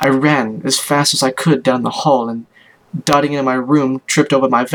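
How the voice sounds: The intonation is fairly even. The speaker reads in a natural voice.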